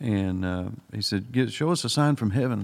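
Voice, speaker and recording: Speaking at a moderate pace, a man with a Southern US accent uses a fairly low pitch. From US South, Alabama. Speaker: Bible study co-host. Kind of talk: Bible study discussion.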